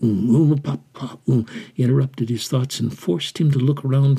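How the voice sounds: The reading voice here is natural.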